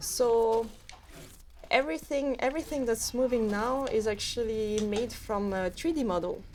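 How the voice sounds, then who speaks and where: A woman with a French accent, fairly high in pitch, with ordinary pitch variation. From French overseas territory near Canada. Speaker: game developer. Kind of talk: casual chat. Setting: studio. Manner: halting, many fillers.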